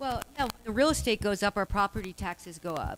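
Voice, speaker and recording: A woman speaks loudly in a bright, sharp tone. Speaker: local activist speaker. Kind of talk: public Q&A. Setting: public meeting with audience.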